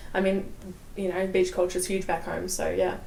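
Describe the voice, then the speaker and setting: A woman's voice at medium pitch with an Australian accent and noticeable background noise. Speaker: army veteran. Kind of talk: interview answer.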